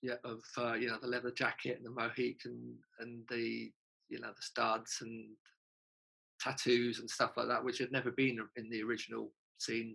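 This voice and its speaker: This man has a bright, sharp tone and a London accent. His intonation stays flat and monotone. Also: medium pitch for a man, moderate pace. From North London, England. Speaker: punk singer and songwriter. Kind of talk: casual interview chat.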